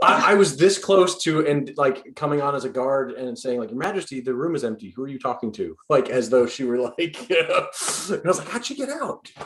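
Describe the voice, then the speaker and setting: Over noticeable background noise, a man with an American accent and a fairly high pitch talks at a fairly quick pace with lively intonation. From New York. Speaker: improv performer. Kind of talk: casual post-show chat.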